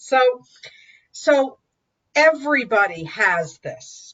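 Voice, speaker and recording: Lively intonation from a woman with a high-pitched voice. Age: 60s. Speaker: dating and life coach. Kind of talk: interview.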